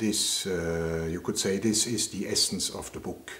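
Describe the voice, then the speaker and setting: A man's voice, fairly low in pitch, with fairly even intonation. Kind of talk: interview answer. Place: home room.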